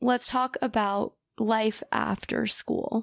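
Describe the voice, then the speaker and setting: This woman has a fairly high pitch, fairly even intonation and a very slow pace. The sound is dry and close with no echo, in a very clean recording with a silent background. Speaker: podcast host and grad student. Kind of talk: interview podcast, casual chat.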